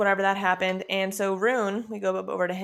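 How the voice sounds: The recording features a natural reading voice.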